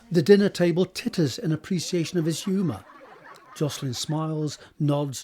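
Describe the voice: At a moderate pace, a man speaks with a fairly high pitch, a slightly mellow tone and a slightly husky edge.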